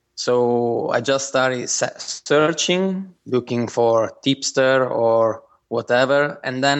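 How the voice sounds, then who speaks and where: A man with an Italian accent at a very slow pace, medium pitch and fairly even intonation. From southern Italy. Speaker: engineer and sports bettor. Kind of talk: interview.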